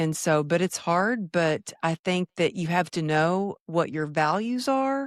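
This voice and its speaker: Someone with a Texas accent speaks at a very slow pace in a very clean recording with a silent background and a dry, close sound with no echo. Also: woman. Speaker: former fitness trainer, speaker. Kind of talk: podcast interview.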